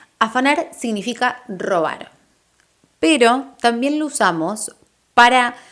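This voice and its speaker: A woman with an Argentine accent speaks at a fairly high pitch and a very slow pace. Her tone is upbeat and her intonation lively. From Argentina. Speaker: Spanish teacher. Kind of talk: language lesson to camera. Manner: friendly, upbeat.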